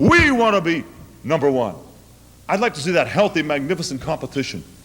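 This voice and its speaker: With an American accent, a man talks at a very fast pace, his pitch swinging very widely. Noticeable background noise runs under the recording. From United States. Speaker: opera singer. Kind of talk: public lecture.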